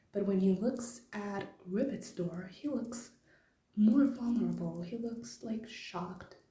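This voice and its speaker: A woman's medium-pitched voice at a very slow pace, with ordinary pitch variation, audible room echo and music in the background. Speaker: fan theory video maker. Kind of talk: casual explainer monologue. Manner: hesitant, many fillers. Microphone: low quality recording.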